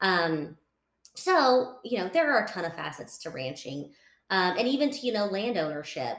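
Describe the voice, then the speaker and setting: At a moderate pace, a woman with a Texan accent speaks at a medium pitch, making very wide pitch swings. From West Texas. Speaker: association events director. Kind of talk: casual interview chat.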